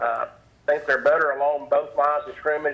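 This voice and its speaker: A man talks with a Southern US accent. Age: 60s. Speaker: sports talk radio guest. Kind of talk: sports talk radio interview. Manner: halting, many fillers.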